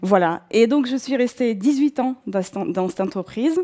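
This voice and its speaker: In a Russian accent, a woman talks with a dark, mellow tone and lively intonation. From southern Russia, North Caucasus. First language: Russian (speaking French). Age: 40s. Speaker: career changer, bookshop owner. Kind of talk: personal testimony. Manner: hesitant, many fillers.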